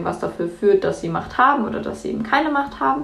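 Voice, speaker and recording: A woman is heard with audible room echo and noticeable background noise. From Germany. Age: young. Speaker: climate activist. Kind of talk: podcast debate.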